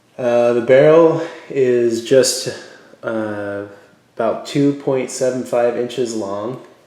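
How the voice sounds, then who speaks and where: A man talks at a very slow pace with ordinary pitch variation. Audible room echo surrounds his voice. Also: medium pitch for a man. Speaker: gun reviewer. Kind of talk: product review. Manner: halting, many fillers.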